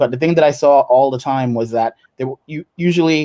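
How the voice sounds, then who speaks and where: In an American accent, a man speaks at a medium pitch with a dark, mellow tone, and the sound is dry and close with no echo. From United States. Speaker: entrepreneur and investor. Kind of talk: panel discussion.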